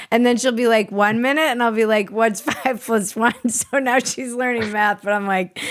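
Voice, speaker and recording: A woman's fairly high voice at a moderate pace, with hardly any pauses, very even loudness and fairly even intonation, over noticeable background noise. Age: 40s. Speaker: podcast host. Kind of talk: casual chat.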